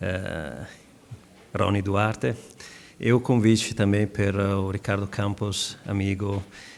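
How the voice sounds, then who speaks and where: In an Italian accent, a man talks at a very slow pace with fairly low pitch and monotone, flat intonation. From Italy. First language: Italian (speaking Portuguese). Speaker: legal expert panelist. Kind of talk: conference panel presentation. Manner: hesitant, many filler sounds.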